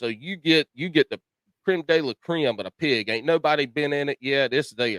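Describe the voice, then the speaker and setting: Fairly high-pitched man in a Carolina accent, moderate pace, dry, close sound with no echo. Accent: Southern US, rural Carolina. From US South, South Carolina (Chesterfield County). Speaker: podcast host. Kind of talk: casual chat.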